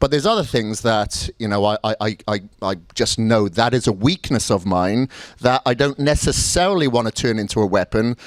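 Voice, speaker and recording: A man with a Welsh accent speaks at a moderate pace and medium pitch, with ordinary pitch variation, on a very clean recording with a silent background and a dry, close sound with no echo. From Wales. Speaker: bodybuilding coach and seminar speaker. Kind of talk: motivational seminar talk. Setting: seminar room with live audience.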